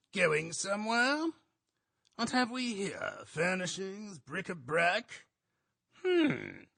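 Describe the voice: A man uses a put-on character voice, high-pitched with big pitch swings. His tone is bright and sharp, with vocal fry, at a slow pace.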